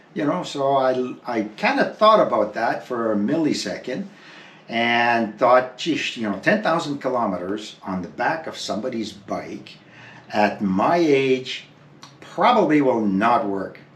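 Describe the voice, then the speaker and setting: The speech moves at a fairly slow pace with lively intonation. There is audible room echo. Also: man, medium pitch for a man. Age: 70s. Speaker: motorcycle traveller, vlogger. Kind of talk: casual chat.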